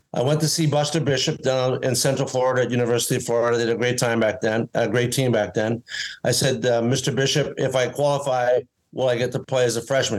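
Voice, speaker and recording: A man with a Canadian accent speaks at a medium pitch and a fairly quick pace, his intonation monotone and flat and his loudness very even. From Canadian Prairies, Winnipeg. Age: 60s. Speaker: former pro golfer and inventor. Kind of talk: interview. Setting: video call.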